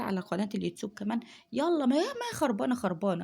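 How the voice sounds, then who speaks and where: Soft-spoken and somewhat breathy, a woman with a fairly high pitch and a dark, mellow tone talks at a fairly quick pace. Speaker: home vlogger. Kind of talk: casual chat. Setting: at home at night.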